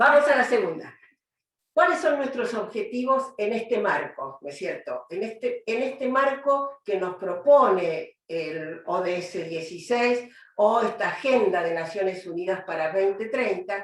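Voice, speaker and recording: Delivered at a fairly slow pace, the speech moves through very wide pitch swings. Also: woman, fairly high pitch for a woman. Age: 70s. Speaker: judge and lecturer. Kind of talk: lecture.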